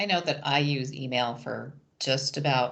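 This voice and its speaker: Here a woman speaks in a somewhat breathy voice. The background is quiet. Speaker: webinar participant. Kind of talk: online discussion. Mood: candid, light. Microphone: video call.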